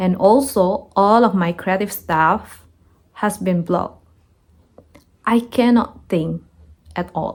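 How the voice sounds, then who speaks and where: A woman speaks at a very slow pace with a non-native accent. Her pitch is medium. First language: not English. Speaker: content creator. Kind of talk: personal story monologue.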